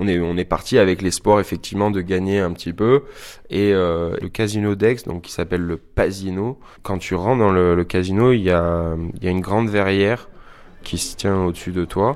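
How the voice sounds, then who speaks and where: A man's very deep, low voice at a moderate pace, fairly even in intonation, in a very clean recording with a silent background. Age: 30s. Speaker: casino witness. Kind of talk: testimony.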